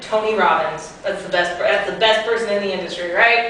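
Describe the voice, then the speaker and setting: Noticeable background noise plus audible room echo. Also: woman. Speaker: sales trainer and business coach. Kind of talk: workshop lecture. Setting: classroom with audience. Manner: animated.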